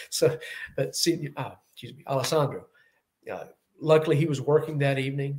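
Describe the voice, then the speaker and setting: At a fairly quick pace, a man with a Southern US accent speaks in a fairly high pitch, somewhat breathy, with monotone, flat intonation. His loudness swings widely, and he leaves long, frequent pauses. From US South. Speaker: Bond fan YouTuber. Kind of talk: casual chat.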